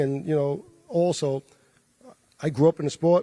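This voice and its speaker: A fairly high-pitched man with a New York accent, a dark, mellow tone, fairly even intonation, and a moderate pace, in a dry, close sound with no echo. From New York, the Bronx. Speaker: boxing promoter. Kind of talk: press conference remarks.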